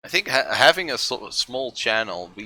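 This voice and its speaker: A man speaks with a Dutch accent. The recording is very clean, with a silent background. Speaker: art streamer. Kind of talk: casual livestream chat while painting. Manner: halting, many fillers.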